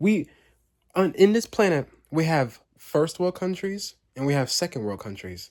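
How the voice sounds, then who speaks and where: On a very clean recording with a silent background, a man speaks at a moderate pace and fairly high pitch, animated and with very wide pitch swings. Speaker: vlogger. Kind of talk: late-night monologue vlog. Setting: home basement. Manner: repetitive, halting.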